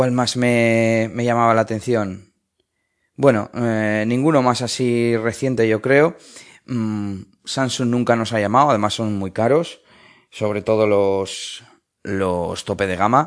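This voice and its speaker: Medium in pitch, a man's voice comes through. He speaks at a very slow pace. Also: fairly even intonation. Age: 30s. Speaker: tech podcaster. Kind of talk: casual monologue recorded on phone. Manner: hesitant with fillers.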